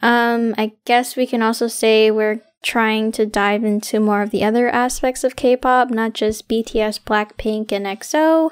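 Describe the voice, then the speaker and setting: On a very clean recording with a silent background, a woman in a normal speaking voice talks at a fairly slow pace and fairly high pitch, with very even loudness, fairly even intonation and hardly any pauses. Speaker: student club president. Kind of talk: casual chat.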